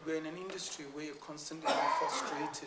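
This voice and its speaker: Fairly high-pitched male speech with fairly even intonation, audible room echo and noticeable background noise. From West Africa (Nigeria and Sierra Leone), born in London. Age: 60s. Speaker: structural engineer. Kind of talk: Q&A after an award lecture.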